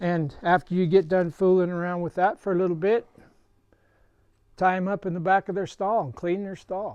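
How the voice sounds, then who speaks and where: The man's pitch is high, and his intonation stays fairly even at a moderate pace. The sound is dry and close, with no echo. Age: 70s. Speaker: horse trainer. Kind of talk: tutorial. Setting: barn. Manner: casual.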